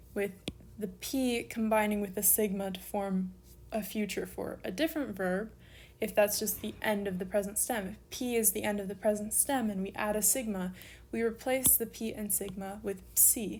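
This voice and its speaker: Somewhat breathy woman's voice at a moderate pace, with fairly even intonation. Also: medium pitch for a woman. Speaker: online Greek language teacher. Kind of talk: tutorial.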